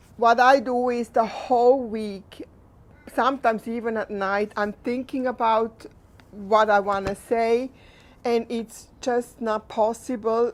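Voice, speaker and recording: A woman with a Swiss German accent speaks very slowly in a fairly high, flat monotone, on a very clean recording with a silent background. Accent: non-native, Swiss German. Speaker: equine assisted therapist and registered nurse. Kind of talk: unscripted talk to camera. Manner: halting, unscripted.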